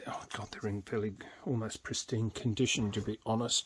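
At a moderate pace, a man talks in monotone, flat intonation over light background noise. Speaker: tabletop games YouTuber. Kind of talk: casual show-and-tell video; casual vlog chat. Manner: casual, with fillers. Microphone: phone near.

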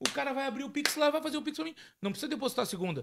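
A man's voice sits at an extremely high pitch and swings very widely in pitch. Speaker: podcast host. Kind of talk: casual chat. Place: studio. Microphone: studio mic.

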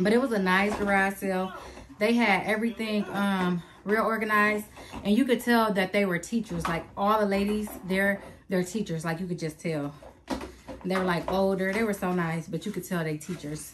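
Over noticeable background noise, a woman talks at a moderate pace with fairly even intonation. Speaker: family vlogger. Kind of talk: casual vlog chat. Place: home room. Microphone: phone near.

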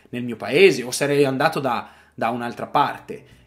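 A man is speaking here at a moderate pace. His pitch is fairly high. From northern Italy, Arluno near Milan; northern Italy. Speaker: vlogger; vlogger living abroad. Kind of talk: personal monologue. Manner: halting, repeats words. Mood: reflective, emotional. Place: home room. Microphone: phone near.

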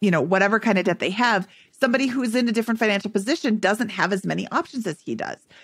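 Over a quiet background with a dry sound and no echo, a woman talks at a very fast pace, somewhat breathy and fairly high in pitch, with ordinary pitch variation. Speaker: podcast co-host. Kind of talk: casual interview chat. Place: home room. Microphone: studio mic.

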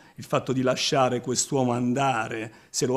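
A man's medium-pitched voice at a moderate pace, over a quiet background. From southern Italy, Apulia. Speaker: film director and actor; actor. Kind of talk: press interview. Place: home room.

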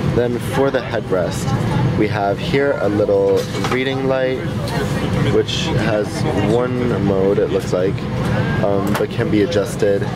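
The speaker goes at a fairly slow pace with long, frequent pauses. Loud background noise runs underneath. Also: man. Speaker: travel reviewer. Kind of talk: casual vlog chat. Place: plane. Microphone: phone near.

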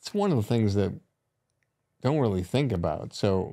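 A man with a dark, mellow tone talks at a moderate pace against a quiet background. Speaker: podcast host, producer; podcast host. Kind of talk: interview questions. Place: studio. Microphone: studio mic.

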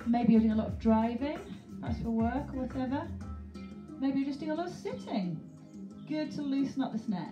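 Someone speaks at a fairly quick pace with clear music in the background. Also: woman. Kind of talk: fitness class instruction. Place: home room.

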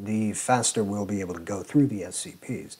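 A man at a moderate pace, fairly low in pitch, with ordinary pitch variation. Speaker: video creator. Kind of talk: channel announcement to camera. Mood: sincere, grateful. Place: home room. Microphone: lapel.

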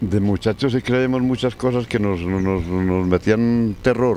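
A man talks very slowly in a dark, mellow tone over light background noise. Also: dry sound with no echo. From Colombia, La Unión, Antioquia; Antioquia, Colombia. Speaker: elderly local resident; interviewee. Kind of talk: storytelling interview. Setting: outdoors in a park. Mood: reminiscing about old times. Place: street. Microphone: handheld.

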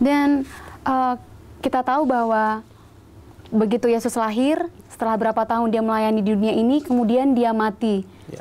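Talking at a fairly quick pace with long, frequent pauses, a woman uses a fairly high pitch and fairly even intonation. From Brastagi, North Sumatra, Indonesia. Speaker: TV Bible study host. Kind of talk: religious TV discussion interview. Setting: studio. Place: studio.

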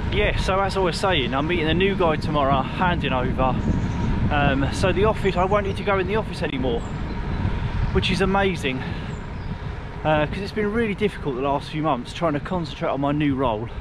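Loud background noise surrounds a man speaking at a fairly quick pace, with a dry sound and no echo. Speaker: cycling vlogger. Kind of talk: casual vlog chat. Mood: excited about his new job. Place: bicycle.

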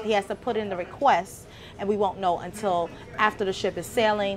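Clear music plays in the background. A woman talks at a fairly quick pace. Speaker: cruise vlogger. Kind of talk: casual vlog chat. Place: hall. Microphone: phone near.

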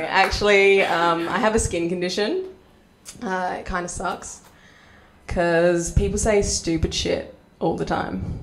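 A woman talks with an Australian accent at a fairly slow pace. Her speech has long, frequent pauses. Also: medium pitch for a woman. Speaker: stand-up comedian. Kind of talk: stand-up comedy set. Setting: stage with audience. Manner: animated, punchy joke delivery with pauses for laughs; self-deprecating, cheeky. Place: stage. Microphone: handheld.

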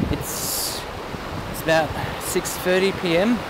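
A woman speaks over loud background noise, her sound dry with no echo. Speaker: vlogger. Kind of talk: vlog monologue. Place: beach. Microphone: phone near.

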